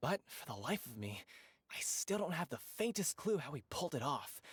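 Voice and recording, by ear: Doing a cartoonish character voice, a man speaks at a moderate pace with a fairly high pitch, a husky, rough edge and big pitch swings.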